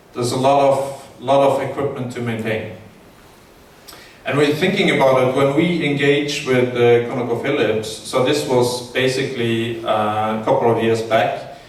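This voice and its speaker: A man's medium-pitched voice with fairly even intonation, plus noticeable background noise and audible room echo. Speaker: engineering consultant. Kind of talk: conference presentation. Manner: slow, with many fillers.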